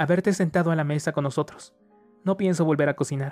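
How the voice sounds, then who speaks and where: A man puts on a shrill character voice, fairly high in pitch and very fast, keeping very even loudness and fairly even intonation while music plays in the background. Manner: scolding, annoyed.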